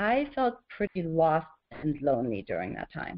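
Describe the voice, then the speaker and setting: A woman talks with a German accent. Her pitch swings very widely. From Germany. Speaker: author and horse mindfulness teacher. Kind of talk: webinar presentation. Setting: webinar.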